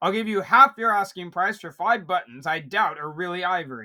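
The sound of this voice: A man does a gruff, put-on character voice, pitched high and moving at a fairly quick pace with lively intonation. His loudness swings widely, and the recording is very clean with a silent background.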